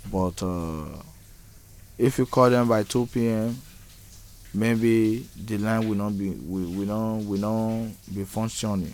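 A man at a fairly low pitch, very slow, with fairly even intonation and long, frequent pauses. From Nigeria. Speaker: homeless migrant. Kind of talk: interview testimony. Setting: outdoors. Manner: halting.

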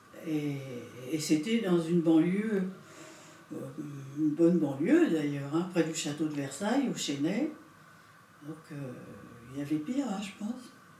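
A woman with a very deep, low pitch speaks at a fairly slow pace, her intonation lively. Long, frequent pauses break up her speech, and the room echo is audible. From France (Paris region). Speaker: witness, daughter of Italian immigrant. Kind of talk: testimony. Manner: hesitant, conversational.

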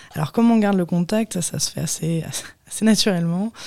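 A woman with a fairly low pitch and a dark, mellow tone speaks with fairly even intonation. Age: 20s. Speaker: photographer. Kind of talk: interview. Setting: studio.

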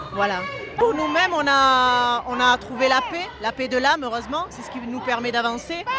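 Over crowd noise with audible room echo, a woman uses a raised, projected voice at a high pitch, moderate pace, lively intonation and big swings in loudness. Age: 40s. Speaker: marcher at a protest. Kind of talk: street interview.

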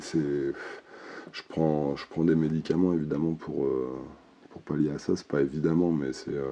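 The pace is very slow, with fairly even intonation. Noticeable background noise is present. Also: man. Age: 40s. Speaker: interviewee sharing testimony on hearing voices. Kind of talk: testimony. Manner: halting.

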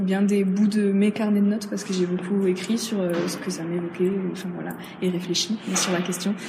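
A woman talks at a fairly quick pace in a monotone, flat intonation, with noticeable background noise and audible room echo. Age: 20s. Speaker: student photographer and drama student. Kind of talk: interview. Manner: hesitant, many fillers.

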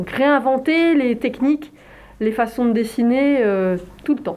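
Noticeable background noise sits behind a voice with ordinary pitch variation. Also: woman. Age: 50s. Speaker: visual artist and illustrator. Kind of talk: interview. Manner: hesitant, many filler sounds.

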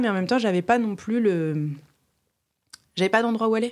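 The recording is very clean with a silent background. A woman speaks with ordinary pitch variation. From France, Reims. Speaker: storyteller and creative. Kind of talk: casual interview conversation.

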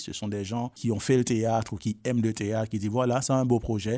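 A man talks at a medium pitch with a dark, mellow tone and fairly even intonation. The recording is very clean, with a silent background. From Haiti. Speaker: drama school director. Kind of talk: interview.

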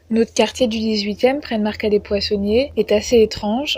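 A woman speaks at a moderate pace in a fairly high voice. Her delivery is somewhat breathy, with fairly even intonation. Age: 20s. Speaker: podcast contributor. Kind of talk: personal testimony.

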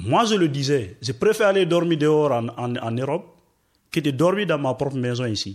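Over a silent background in a very clean recording, a man with a fairly high voice speaks at a moderate pace, his pitch swinging very widely. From Guinea, Forest Guinea region. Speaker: asylum seeker, radio workshop participant. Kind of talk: discussion. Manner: hesitant.

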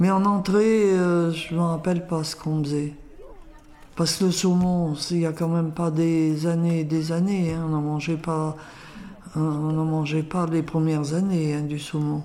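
The delivery is monotone and flat at a fairly slow pace. Audible room echo is present. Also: woman, fairly low pitch for a woman. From France, Lyon region. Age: 80s+. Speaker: grandmother and home cook. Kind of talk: casual interview. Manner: halting.

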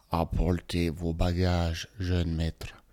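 Putting on a character voice, a man drones fairly slowly in a very deep, low, guttural monotone with flat intonation. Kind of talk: formal, servile. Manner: gurgling, guttural.

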